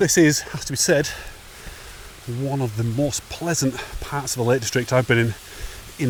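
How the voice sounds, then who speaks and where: A man at a moderate pace, with long, frequent pauses, ordinary pitch variation and noticeable background noise. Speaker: hiking vlogger. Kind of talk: walking vlog narration. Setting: outdoors on a fell hike. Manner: casual, halting.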